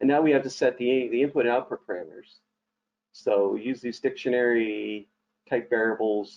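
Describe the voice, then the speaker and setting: A man speaks with a plain, everyday voice. His pitch is medium and his pace moderate. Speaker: software trainer. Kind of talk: tutorial. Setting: online webinar.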